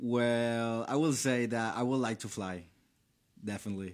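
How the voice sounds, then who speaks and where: A man speaks with a Venezuelan accent and fairly even intonation. The recording is very clean, with a silent background. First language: Spanish. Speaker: college student and intern. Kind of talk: casual interview. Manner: halting.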